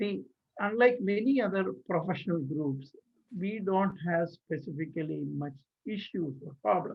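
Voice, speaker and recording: With an Indian accent, a man speaks at a fairly slow pace in a high voice with lively intonation. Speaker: engineer and community leader. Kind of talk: interview. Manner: halting.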